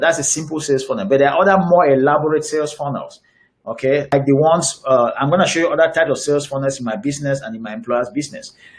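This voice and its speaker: A man with a fairly high pitch and a somewhat breathy voice speaks at a very fast pace. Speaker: digital marketing coach. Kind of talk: webinar presentation. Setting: online webinar with screen share. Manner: halting, frequent fillers and repeats.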